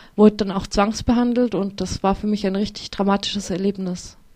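In a dark, mellow tone, a woman speaks with monotone, flat intonation. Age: 20s. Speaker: author and psychiatry survivor. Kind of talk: interview testimony. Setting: radio studio. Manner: halting, many fillers.

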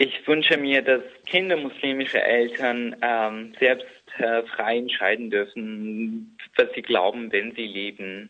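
Very slow pace from a man at medium pitch, with ordinary pitch variation. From Iraqi Kurdistan. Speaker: activist and blogger. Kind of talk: interview. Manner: halting.

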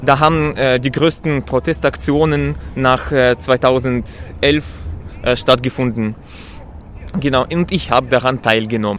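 Fairly slow with long, frequent pauses, a man speaks in a Russian accent. His medium pitch shows ordinary variation, and his loudness stays very even. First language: Russian (speaking German). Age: 20s. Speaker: protester, trainee lab technician. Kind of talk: street interview. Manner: halting, many fillers.

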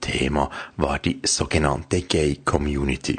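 A man speaks with vocal fry. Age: 50s. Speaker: radio show producer. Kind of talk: scripted radio segment.

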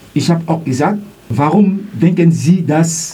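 A man's fairly high-pitched voice with a non-native accent, plus audible room echo and noticeable background noise. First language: not German (speaking German). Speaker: student, eyewitness of racist incident. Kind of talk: testimony. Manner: halting.

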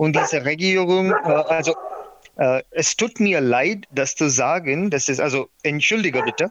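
With a non-native accent, a man speaks at a high pitch and a fairly slow pace. His loudness stays very even, with ordinary pitch variation. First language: not German (speaking German). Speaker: documentary filmmaker. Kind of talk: interview. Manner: halting.

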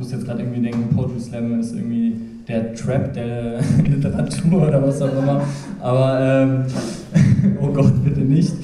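Over noticeable background noise, a man with a medium pitch and ordinary pitch variation speaks at a moderate pace, with long, frequent pauses. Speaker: slam moderator. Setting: stage with audience.

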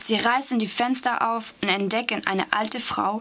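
Against noticeable background noise, a woman with a French accent speaks fairly slowly in a monotone, flat intonation. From Strasbourg, France. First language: French (speaking German). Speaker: language student. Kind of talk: reading aloud.

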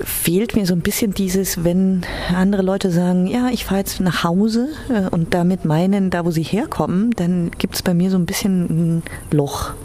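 A woman talks at a moderate pace with a medium pitch and fairly even intonation. Her loudness stays very even over noticeable background noise. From Iran (Tehran), then Germany. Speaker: interviewee. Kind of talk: interview testimony.

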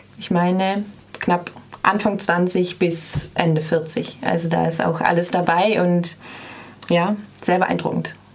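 There is noticeable background noise as a woman talks at a very slow pace, with long, frequent pauses. Her intonation is monotone and flat, and her loudness is very even. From northern Germany, Bremen. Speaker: dance student. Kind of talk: radio interview. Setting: radio studio.

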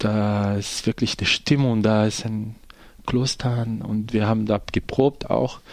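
A man's fairly low voice, very slow in pace, with fairly even intonation. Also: very clean recording, silent background. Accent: Portuguese. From Brazil, poor neighborhood. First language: Portuguese (speaking German). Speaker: theatre actor and director. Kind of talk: radio interview.

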